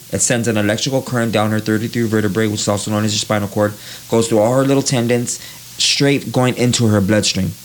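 Over noticeable background noise, a voice with an American accent shows ordinary pitch variation. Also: man. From East Los Angeles. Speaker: tattoo artist. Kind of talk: casual interview. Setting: tattoo studio.

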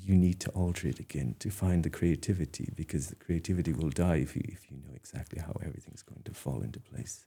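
A man talks at a very fast pace with hardly any pauses, in a very deep, low voice that is dark and mellow with vocal fry. His pitch varies in an ordinary way while his loudness swings widely. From Ireland, Dingle (County Kerry). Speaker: artist. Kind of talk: interview. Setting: studio. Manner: hesitant, many fillers and restarts.

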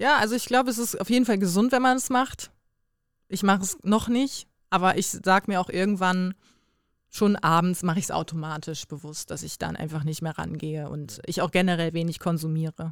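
A woman with a normal speaking voice talks at a fairly quick pace, medium in pitch with lively intonation, on a very clean recording with a silent background. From Bremen, northern Germany. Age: 20s. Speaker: influencer and former reality TV contestant. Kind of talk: casual chat.

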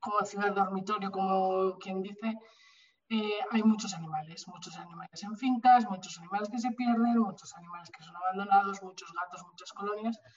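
A woman speaks at a medium pitch with monotone, flat intonation. Her voice is somewhat breathy. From Spain, Bilbao (Basque Country). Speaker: animal rescue association president. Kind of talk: interview conversation.

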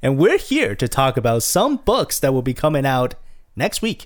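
On a very clean recording with a silent background, a man speaks at a medium pitch and a fairly quick pace. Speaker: podcast host. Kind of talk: casual chat. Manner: loud.

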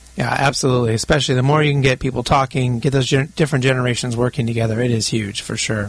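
A man speaks at a very fast pace with hardly any pauses. His medium-pitched voice is somewhat breathy, with fairly even intonation. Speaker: radio host and company CEO. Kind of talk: radio interview. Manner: halting, many fillers.

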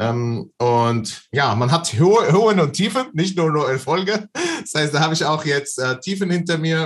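A man with an Arabic accent speaks at a moderate pace, his intonation lively. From Palestine, Bethlehem. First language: Arabic (speaking German). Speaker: online seller and business coach. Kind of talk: interview.

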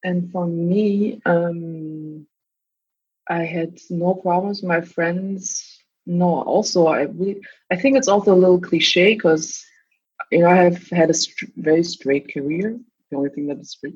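Somewhat breathy, a woman with a German accent talks at a fairly slow pace, her loudness swinging widely. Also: fairly low pitch for a woman, ordinary pitch variation. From Germany, East Berlin. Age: 30s. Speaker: doctor, podcast guest. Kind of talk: casual interview chat.

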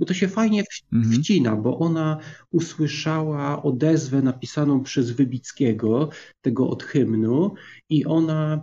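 Somewhat breathy and fairly high in pitch, a man talks at a moderate pace. His pitch varies in an ordinary way. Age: 50s. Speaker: book podcaster. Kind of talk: casual chat.

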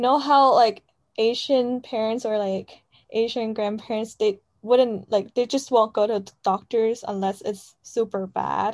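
In a Chinese accent, a woman with a fairly high pitch talks at a fairly slow pace with fairly even intonation. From China. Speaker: college student. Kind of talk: casual chat.

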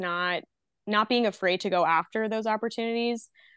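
An unremarkable speaking voice from a woman, medium in pitch, with fairly even intonation, a moderate pace, and a dry, close sound with no echo against a quiet background. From Canada, Nova Scotia. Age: 20s. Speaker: comedian. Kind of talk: casual chat.

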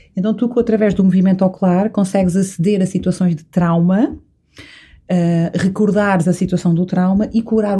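A woman's somewhat breathy voice at medium pitch, dark and mellow in tone, at a moderate pace with fairly even intonation. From Azores, São Miguel. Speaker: entrepreneur and retreat organizer. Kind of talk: casual interview.

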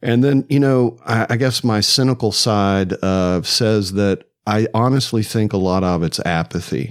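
Here is a man with an ordinary speaking voice, fairly low in pitch, speaking in an American accent. His loudness stays very even on a very clean recording with a silent background. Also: ordinary pitch variation, fairly slow pace, hardly any pauses. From US South, Atlanta. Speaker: podcast host. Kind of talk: casual interview chat.

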